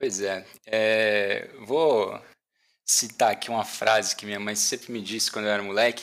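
A man speaks in an unremarkable speaking voice at a fairly slow pace, his fairly low pitch moving in fairly even intonation, on a very clean recording with a silent background. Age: 30s. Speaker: tech team leader. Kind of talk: casual chat.

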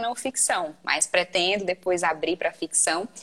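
A woman's normal speaking voice with lively intonation, at a moderate pace. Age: 20s. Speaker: writer and writing mentor. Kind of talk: casual chat.

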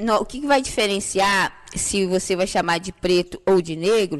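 Speech at a moderate pace, with ordinary pitch variation, comes through noticeable background noise. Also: woman. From Brazil, Santa Cruz favela. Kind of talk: podcast interview.

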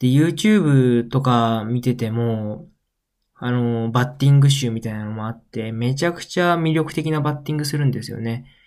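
Pitch varies in a normal way as the words come at an average rate. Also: man, medium pitch for a man. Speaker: podcast host. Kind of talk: solo casual talk. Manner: animated.

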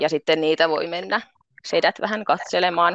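A woman with a fairly low pitch speaks at a moderate pace in an ordinary speaking voice. The sound is dry and close, with no echo. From Finland, Pori. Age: 30s. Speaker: pole dance instructor and construction painter. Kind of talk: interview.

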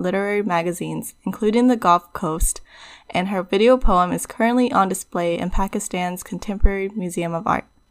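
A woman with a plain, everyday voice is heard in a very clean recording with a silent background. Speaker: podcast co-host. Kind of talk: casual interview.

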